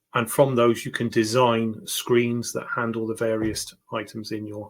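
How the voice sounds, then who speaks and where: With a British accent, a somewhat breathy man speaks in a monotone, flat intonation. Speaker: tech YouTuber. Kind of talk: home tour tutorial. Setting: home. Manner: hesitant, many fillers.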